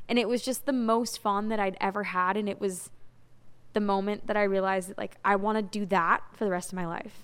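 This is a plain, everyday voice at a fairly quick pace. The intonation is fairly even. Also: woman, medium pitch for a woman. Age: 20s. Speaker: singer-songwriter. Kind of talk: casual interview.

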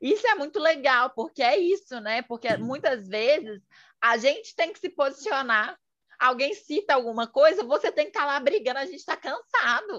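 Against a quiet background, a woman with a high voice talks at a moderate pace, her pitch swinging very widely. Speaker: podcast host, journalist and psychology student. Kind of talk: casual interview chat.

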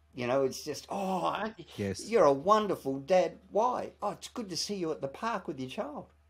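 Lively intonation at a moderate pace. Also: man, high pitch for a man. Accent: Australian. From Australia. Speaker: TV presenter and author. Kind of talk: interview.

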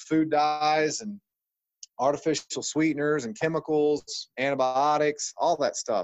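A plain, everyday voice from a man with an American accent, fairly high in pitch, fairly even in intonation, at a fairly slow pace. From Ohio, US Midwest. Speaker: chiropractor. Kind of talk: interview.

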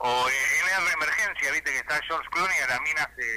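Noticeable background noise fills the recording. A man's voice comes through it. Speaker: comedian. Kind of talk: casual chat.

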